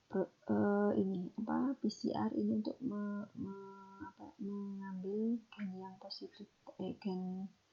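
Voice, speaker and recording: Very slowly, a woman talks in a medium pitch, her pitch varying in an ordinary way. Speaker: lecturer. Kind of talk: recorded lecture explanation. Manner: whispered; some stumbling words.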